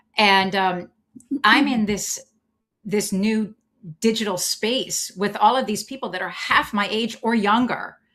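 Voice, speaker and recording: A woman speaks at a fairly high pitch with a bright, sharp tone. Her pace is fairly slow and her intonation fairly even. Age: 60s. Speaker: graphic designer and author. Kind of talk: interview, personal story. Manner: halting, repeating words.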